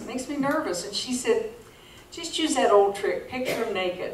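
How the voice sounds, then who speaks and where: A woman with very wide pitch swings amid audible room echo and noticeable background noise. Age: 70s. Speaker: stand-up comedian. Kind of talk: stand-up. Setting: stage with audience.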